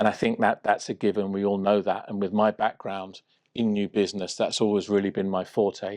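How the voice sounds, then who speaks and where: The speaker talks at a moderate pace with a southern English accent. The sound is dry and close with no echo, over a quiet background. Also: man. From southwest London, England. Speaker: trade officer. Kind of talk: interview.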